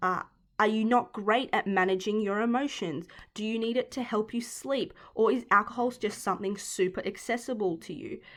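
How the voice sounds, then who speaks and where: Recorded very cleanly against a silent background, a woman talks in an Australian accent at a fairly high pitch. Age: 20s. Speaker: podcast host and sport science student. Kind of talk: solo podcast talk. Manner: casual with many fillers and restarts.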